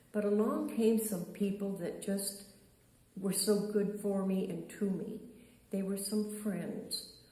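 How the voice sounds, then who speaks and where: Over noticeable background noise and audible room echo, a woman speaks with an American accent. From US South, Charleston, South Carolina. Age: 80s+. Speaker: interviewee, elder sharing life story. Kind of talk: interview, life story. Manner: halting, with fillers.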